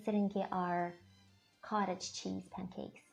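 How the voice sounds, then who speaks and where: There is music in the background as a woman talks with a Russian accent. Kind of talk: casual talk to camera.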